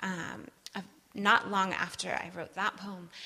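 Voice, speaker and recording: Her voice has vocal fry and a bright, sharp tone, a woman with a medium pitch and an American accent. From US Midwest, Wisconsin. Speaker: preacher. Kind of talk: sermon.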